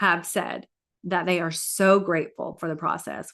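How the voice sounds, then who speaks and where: A woman's bright, sharp voice at medium pitch and a fairly slow pace over a quiet background. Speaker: life coach. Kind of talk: live stream talk with coaching pitch.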